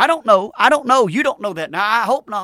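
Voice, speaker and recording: A man's raised, projected voice with a Southern US accent, high-pitched and bright and sharp, at a fairly quick pace with lively intonation, in a dry, close sound with no echo on a very clean recording against a silent background. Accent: US South. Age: 50s. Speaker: radio preacher. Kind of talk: sermon. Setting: studio.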